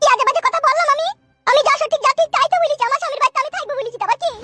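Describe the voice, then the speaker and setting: A woman uses a cartoonish character voice at an extremely high pitch, talking very fast with lively intonation. Sound effects play in the background. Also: dry, close sound with no echo. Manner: combative, shrill.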